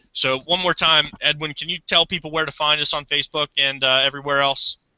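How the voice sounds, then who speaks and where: A man at fairly high pitch, fairly quick pace, and monotone, flat intonation. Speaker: podcast host. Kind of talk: casual chat.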